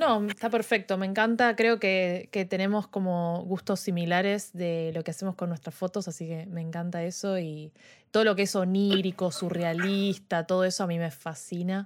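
A woman with a plain, everyday voice of medium pitch talks at a moderate pace with hardly any pauses and fairly even intonation, in a very clean recording with a silent background. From Argentina, Buenos Aires. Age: 20s. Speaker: podcast host and photographer. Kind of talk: casual chat. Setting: live stream.

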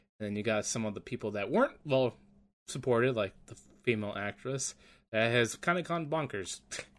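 A man speaks at a fairly quick pace in a plain, everyday voice, medium in pitch, with ordinary pitch variation, on a very clean recording with a silent background. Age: 20s. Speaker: podcast co-host and streamer. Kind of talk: casual chat.

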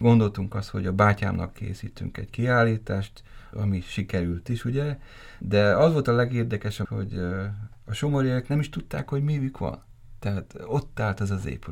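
In a very clean recording with a silent background, a man with an unremarkable speaking voice talks at a moderate pace, with a fairly low pitch and ordinary pitch variation. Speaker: gallery founder. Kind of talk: interview.

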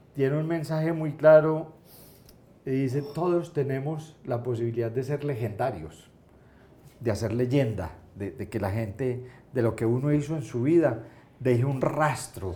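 In an Antioquian accent, a man speaks at a moderate pace with ordinary pitch variation, and audible room echo fills the space. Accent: Colombian paisa Spanish. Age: 60s. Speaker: entrepreneur. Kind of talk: interview.

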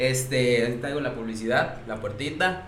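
Amid noticeable background noise and audible room echo, a man speaks at a fairly high pitch with a Mexican accent. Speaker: bar owner. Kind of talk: casual chat. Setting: live stream.

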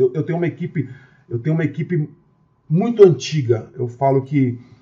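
Somewhat breathy and fairly high-pitched, a man speaks with a São Paulo accent, lively intonation and a moderate pace. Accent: Brazilian Portuguese, São Paulo (paulista). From Brazil, Osasco (São Paulo area). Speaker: restaurant entrepreneur. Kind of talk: casual interview.

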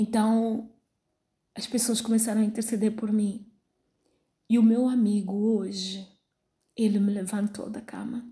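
A somewhat breathy woman's voice, fairly high-pitched with a dark, mellow tone, flat and monotone at a fairly slow pace, broken by long, frequent pauses. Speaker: pastor. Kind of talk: sermon. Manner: halting, many fillers.

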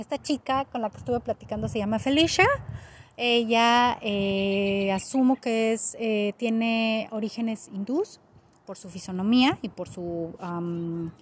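Someone speaks at a fairly slow pace with a Mexican accent and ordinary pitch variation. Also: woman. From Mexico. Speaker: podcast host. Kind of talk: casual unscripted monologue. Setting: outdoors in a park. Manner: hesitant, many fillers.

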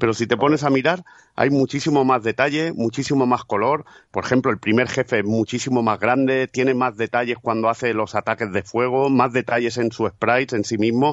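This is a man with an ordinary speaking voice at a medium pitch. He speaks at a fairly quick pace with fairly even intonation and very even loudness. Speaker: podcaster. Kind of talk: casual chat.

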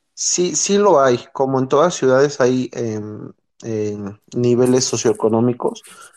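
Pitch varies in an ordinary way in this unremarkable speaking voice. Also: man, medium pitch for a man, fairly slow pace. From Mexico City area, Mexico. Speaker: Mexican-raised emigrant in the US. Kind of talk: casual chat.

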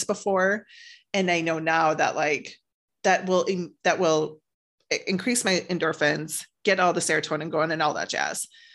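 A woman uses an ordinary speaking voice, fairly low in pitch, at a moderate pace. Her intonation is fairly even and the background is quiet. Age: 40s. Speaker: author and publisher. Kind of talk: personal testimony interview.

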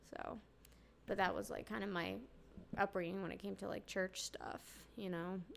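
A woman speaks with vocal fry and fairly even intonation. She leaves long, frequent pauses. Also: medium pitch for a woman, moderate pace. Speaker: guest sharing testimony, new mother. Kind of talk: casual chat / testimony. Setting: at home, holding her baby.

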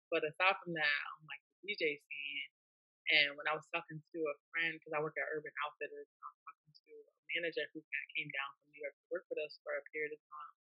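Speaking with an American accent, a woman moves at a fairly quick pace. Her loudness swings widely. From Hampton, Virginia. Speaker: DJ and artist. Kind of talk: casual interview.

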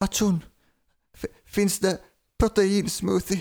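A shaky, put-on character voice, female-sounding, at a medium pitch for a woman.

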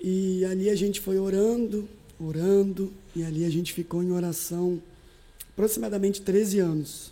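A woman at medium pitch, dark and mellow in tone, with fairly even intonation and a moderate pace. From Espírito Santo, Brazil (Alegre). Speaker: pastor. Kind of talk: podcast interview.

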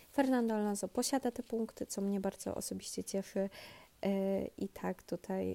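A woman's dark, mellow voice moves at a moderate pace. The recording is very clean, with a silent background and a dry, close sound free of echo. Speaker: podcast host. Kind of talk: inserted correction.

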